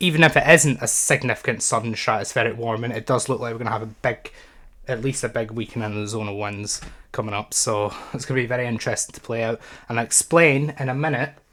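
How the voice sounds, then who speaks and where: A man puts on a raspy character voice at medium pitch. He speaks very fast, with ordinary pitch variation. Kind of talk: explanatory talk. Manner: talking very fast.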